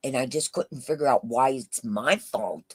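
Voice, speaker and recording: The sound is dry and close, with no echo. A woman talks at a very slow pace. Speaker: YouTube livestreamer. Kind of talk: casual live chat. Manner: loud; halting with fillers.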